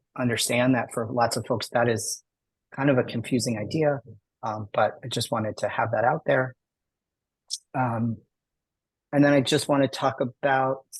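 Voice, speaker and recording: Recorded dry and close with no echo, a man speaks at a medium pitch in a somewhat breathy, monotone, flat voice with long, frequent pauses. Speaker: educator on gender identity. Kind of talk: presentation. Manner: fast.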